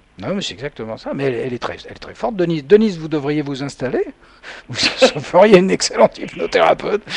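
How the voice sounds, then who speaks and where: A man's fairly high voice at a very fast pace, with very wide pitch swings, big swings in loudness, and noticeable background noise. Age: 60s. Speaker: hypnotherapist radio host. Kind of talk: radio call-in show. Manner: hesitant, many fillers.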